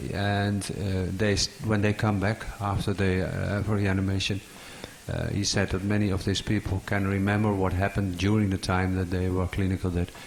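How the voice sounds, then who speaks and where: Over noticeable background noise, a man speaks at a fairly low pitch and a moderate pace, his intonation monotone and flat and his loudness very even. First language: not English. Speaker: audience member asking a question. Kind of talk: conference Q&A. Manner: halting.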